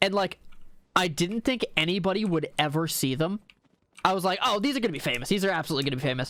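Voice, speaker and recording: In a bright, sharp tone, the voice races along at a very fast pace with lively intonation. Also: man. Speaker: gaming streamer and video host. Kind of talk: casual chat while gaming.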